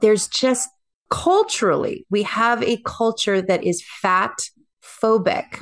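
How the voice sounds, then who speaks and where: Very slowly and at a very even loudness, a woman with a fairly high voice swings her pitch very widely. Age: 40s. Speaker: transformational coach and former professional dancer. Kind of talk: interview conversation.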